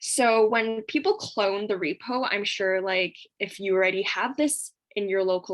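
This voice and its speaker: A woman speaks in an unremarkable speaking voice at a medium pitch. Her pace is moderate. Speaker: coding workshop instructor. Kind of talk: tutorial. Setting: video call.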